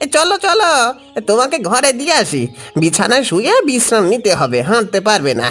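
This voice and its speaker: A cartoonish character voice, fairly high in pitch with very wide pitch swings, at a moderate pace over faint background music. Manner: fast, excitable.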